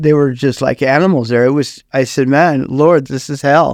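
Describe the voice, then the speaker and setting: A man talks in a normal speaking voice with fairly even intonation. The recording is very clean, with a silent background. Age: 60s. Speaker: former prison inmate, prison minister. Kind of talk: testimony.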